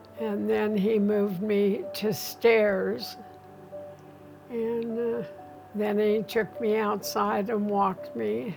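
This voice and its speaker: At a very slow pace, a woman speaks at a medium pitch with ordinary pitch variation. Music plays in the background, and audible room echo surrounds her voice. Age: 80s+. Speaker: home health patient. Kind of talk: testimony.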